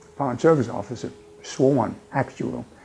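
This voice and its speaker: A man talks at a fairly quick pace over music in the background. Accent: American. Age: 90s. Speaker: retired intelligence officer and war veteran. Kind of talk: interview testimony. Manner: halting, with repeated words.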